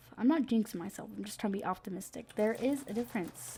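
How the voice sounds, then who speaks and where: A woman speaks quietly with a dark, mellow tone, vocal fry and a fairly high pitch. Her pace is very fast and her intonation lively. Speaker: gaming youtuber. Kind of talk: casual gameplay commentary. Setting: bedroom at night. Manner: hesitant, many fillers.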